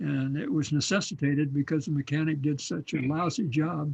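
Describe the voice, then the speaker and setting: A somewhat breathy man with a fairly high pitch. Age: 80s+. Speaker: pilot and aircraft owner. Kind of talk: casual chat.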